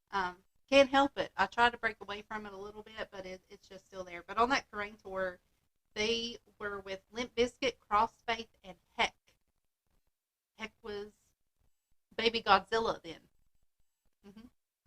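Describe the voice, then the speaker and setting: A woman's fairly high, bright, sharp voice at a moderate pace, with long, frequent pauses, fairly even intonation, big swings in loudness and a dry, close sound with no echo. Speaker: podcast host. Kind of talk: casual chat.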